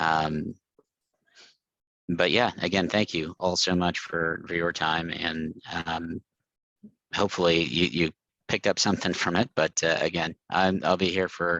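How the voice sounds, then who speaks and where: A man with a very deep, low pitch talks at a moderate pace in a flat monotone, his tone bright and sharp, the sound dry and close with no echo. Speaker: software trainer. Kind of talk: tutorial.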